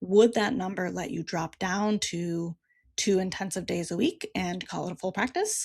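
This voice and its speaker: This woman's voice sits at a medium pitch and sounds somewhat breathy, with ordinary pitch variation. She talks at a moderate pace on a very clean recording with a silent background. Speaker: therapist and practice coach, podcast host. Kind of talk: solo podcast monologue.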